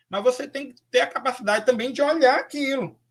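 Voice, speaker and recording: A man speaks with a bright, sharp tone. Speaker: professor, lecturer on AI and special education. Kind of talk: online lecture. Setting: live online talk. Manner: hesitant, with fillers.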